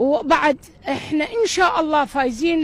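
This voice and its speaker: Animated, high-pitched woman's voice in an Iraqi accent, with lively intonation, a fairly slow pace and noticeable background noise. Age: 60s. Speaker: football fan. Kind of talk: impassioned appeal.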